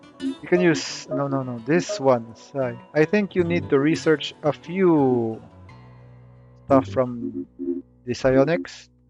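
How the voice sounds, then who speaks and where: Over background music, a man talks at a very slow pace with a medium pitch. His pitch swings very widely. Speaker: video game guide creator. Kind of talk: casual game tutorial commentary. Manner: hesitant, many filler words.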